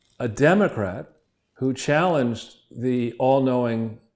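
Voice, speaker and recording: This is a man with a medium pitch. His pitch variation is ordinary. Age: 60s. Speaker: political commentator and co-host. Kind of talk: interview discussion. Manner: animated.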